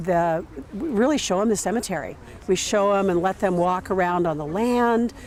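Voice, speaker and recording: A woman talks in an ordinary speaking voice at a moderate pace, with medium pitch and ordinary pitch variation. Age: 60s. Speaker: natural burial cemetery manager. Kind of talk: documentary interview.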